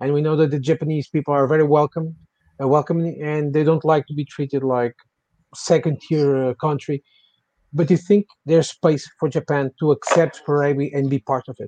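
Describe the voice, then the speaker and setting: A man with a Portuguese accent, fairly high in pitch with a dark, mellow tone, in monotone, flat intonation at a moderate pace, with a dry, close sound and no echo. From Portugal. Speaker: podcast host. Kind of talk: casual chat.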